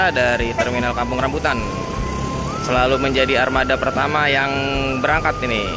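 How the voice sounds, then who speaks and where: Clear music plays in the background as a man speaks, the sound dry with no echo. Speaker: bus-spotting vlogger. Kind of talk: casual vlog commentary. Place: station. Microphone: phone near.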